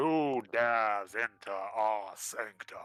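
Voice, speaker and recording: A booming put-on character voice at a very slow pace, with faint music in the background. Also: man. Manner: commanding, imposing.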